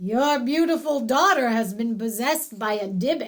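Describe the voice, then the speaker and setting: A woman puts on a character voice with a high pitch and lively intonation. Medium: read story. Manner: measured, explanatory.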